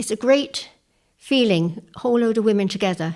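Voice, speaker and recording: The woman's recording is very clean, with a silent background behind her. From England. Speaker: women's shed member. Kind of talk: interview testimony.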